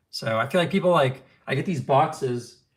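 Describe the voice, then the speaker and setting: A man with an American accent speaks at a medium pitch. The recording is very clean, with a silent background. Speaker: knife collector streamer. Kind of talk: live stream chat. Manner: fast; casual, filler-heavy.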